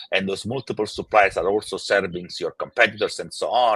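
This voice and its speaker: A man with an Italian accent. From Italy. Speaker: tech company founder and CEO. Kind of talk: interview. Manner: halting, many fillers and repeats.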